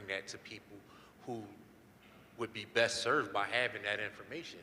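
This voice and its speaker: This man speaks at a fairly quick pace. His intonation stays fairly even. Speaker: crypto educator, panelist. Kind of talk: panel discussion.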